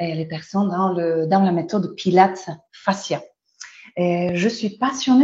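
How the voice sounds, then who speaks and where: With a Polish accent, a woman speaks at a moderate pace and medium pitch, her tone dark, mellow and somewhat breathy. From Poland. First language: Polish (speaking French). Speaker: Pilates instructor and trainer. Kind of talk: webinar presentation. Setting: online webinar. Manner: halting, many hesitations.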